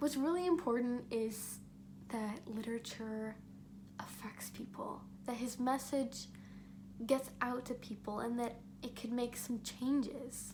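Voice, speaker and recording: Using an animated tone at a fairly slow pace, a woman with a fairly high voice leaves long, frequent pauses amid audible room echo. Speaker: student vlogger. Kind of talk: casual monologue. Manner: animated, some stumbling.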